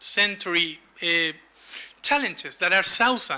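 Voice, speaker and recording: A man's raised, projected voice with a Latin American accent, lively intonation and a moderate pace. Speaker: humanitarian first aid expert. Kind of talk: conference presentation.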